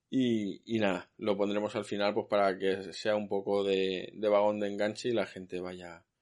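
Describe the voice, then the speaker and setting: Over a quiet background, a man with a normal speaking voice talks at a fairly low pitch and a moderate pace. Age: 40s. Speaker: podcast host. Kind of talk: casual chat.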